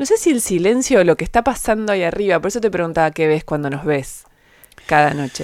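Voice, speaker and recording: Woman with an Argentine accent, fairly low pitch, lively intonation and a very fast pace, in a very clean recording with a silent background. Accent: Rioplatense Argentine Spanish. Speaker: podcast host and interviewer. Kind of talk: interview.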